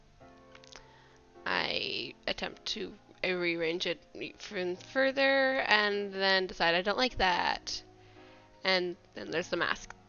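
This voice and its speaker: Over music in the background, a woman at medium pitch speaks at a very slow pace with long, frequent pauses, big swings in loudness and ordinary pitch variation. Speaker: digital artist. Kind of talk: casual speed-paint commentary. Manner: hesitant, casual.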